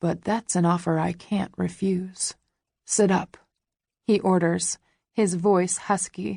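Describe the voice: In plain reading aloud against a quiet background, the intonation stays fairly even.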